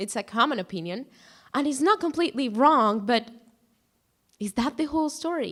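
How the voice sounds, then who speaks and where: A woman with a Spanish accent and lively intonation speaks at a moderate pace in a very clean recording with a silent background. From Guatemala. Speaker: student speaker. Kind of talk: prepared talk.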